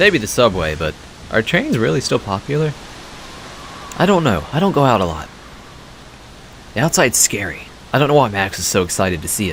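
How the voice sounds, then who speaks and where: Over noticeable background noise, a man talks at a fairly quick pace. His fairly low voice makes very wide pitch swings. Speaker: let's play gamer. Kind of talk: game commentary.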